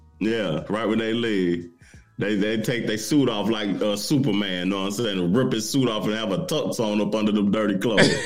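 Speech comes at a fairly quick pace with ordinary pitch variation. Music plays in the background, and room echo is audible. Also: man, fairly low pitch for a man. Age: 40s. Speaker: podcast co-host. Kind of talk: casual chat.

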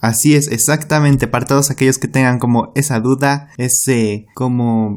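Here a man with a medium pitch and a slightly mellow tone talks at a moderate pace. His intonation stays fairly even.

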